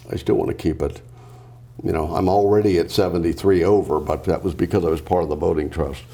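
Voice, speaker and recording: A man at a very fast pace, very deep and low in pitch, with fairly even intonation and noticeable background noise. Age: 70s. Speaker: business founder and executive. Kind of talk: interview. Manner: hesitant, many fillers.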